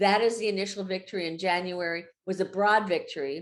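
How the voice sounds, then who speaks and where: Against a quiet background, a woman of medium pitch talks at a moderate pace with ordinary pitch variation. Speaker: environmental advocacy director and lawyer. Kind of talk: presentation. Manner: halting with fillers and restarts.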